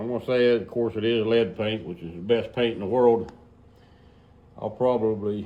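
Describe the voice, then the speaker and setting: A man at medium pitch with ordinary pitch variation, a relaxed tone, a moderate pace and long, frequent pauses, plus audible room echo. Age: 60s. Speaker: tractor restorer, garage video maker. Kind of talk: casual workshop tutorial. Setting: garage workshop. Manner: relaxed, folksy with frequent fillers.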